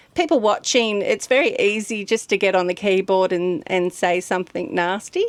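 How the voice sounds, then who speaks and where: A woman with an Australian accent talks at a fairly slow pace. Her pitch is medium, with ordinary variation. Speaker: guest co-host, travel vlogger. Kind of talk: casual chat.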